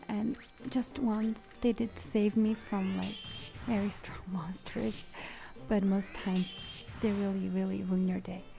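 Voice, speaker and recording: Music in the background, with long, frequent pauses and a fairly slow pace. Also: woman. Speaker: gaming YouTuber. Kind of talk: let's play commentary. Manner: casual, hesitant with fillers.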